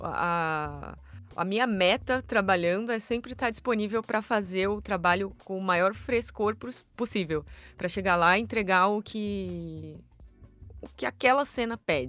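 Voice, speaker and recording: A woman's ordinary speaking voice at a medium pitch with ordinary pitch variation, on a very clean recording with a silent background. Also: fairly slow pace. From Brazil, São Paulo. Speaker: voice actor. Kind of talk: interview.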